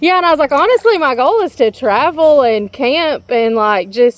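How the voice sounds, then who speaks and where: A woman speaks with a slight Southern accent. Her pitch swings very widely. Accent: slight southern drawl. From Georgia (US South). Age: 30s. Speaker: travel vlogger. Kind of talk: casual chat.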